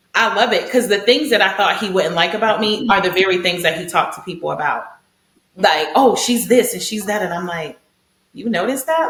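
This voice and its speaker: A woman's voice comes through loud and animated at a fairly high pitch. Audible room echo surrounds it. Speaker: podcast co-host. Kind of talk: casual chat.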